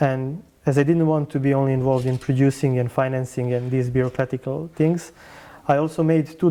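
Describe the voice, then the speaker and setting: The intonation stays fairly even, in a Serbian accent. The tone is dark and mellow. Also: man. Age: 30s. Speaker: film director. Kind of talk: interview. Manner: halting.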